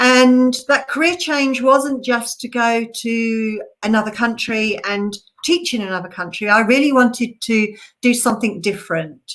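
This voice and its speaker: With an English accent, a woman speaks at a fairly slow pace. Her pitch is fairly high with ordinary variation. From England. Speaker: conservation researcher. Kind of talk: online presentation. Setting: live stream.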